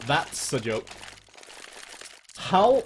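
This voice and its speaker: A man speaks at a high pitch. There is noticeable background noise. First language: not English (English is third language). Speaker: esports caster. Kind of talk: live commentary. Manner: animated.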